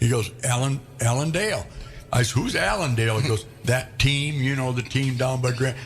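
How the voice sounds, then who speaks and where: A man with an American accent speaks at a moderate pace in a medium pitch with ordinary pitch variation, over noticeable background noise. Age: 70s. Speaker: radio show host. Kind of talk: casual chat.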